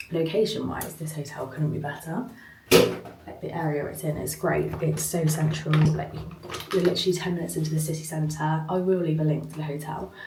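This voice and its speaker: A woman with a British accent speaks at a fairly quick pace in a very deep, low voice. Her intonation is fairly even, with audible room echo and noticeable background noise. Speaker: travel vlogger. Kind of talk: vlog. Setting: hotel room. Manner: casual, filler-heavy.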